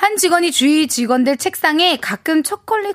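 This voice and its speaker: The sound is dry and close, with no echo. A woman talks at a fairly slow pace. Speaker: comedian. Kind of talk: casual chat. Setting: studio.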